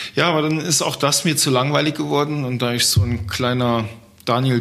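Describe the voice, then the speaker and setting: With noticeable background noise around him, this man's voice holds a medium pitch. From Germany, Trier region. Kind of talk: interview.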